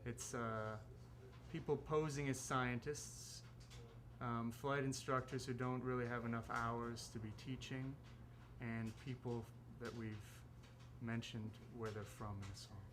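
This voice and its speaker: A man with a Chicago accent at a moderate pace, with audible room echo. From Chicago, US Midwest. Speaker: musician. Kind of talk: interview. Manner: halting.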